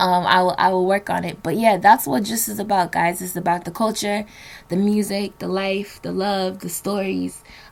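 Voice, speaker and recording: The speaker talks at a moderate pace with a New Jersey accent. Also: woman. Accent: American, New Jersey. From New Jersey, Nigerian household. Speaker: podcast host. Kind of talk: solo podcast monologue. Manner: casual, many fillers.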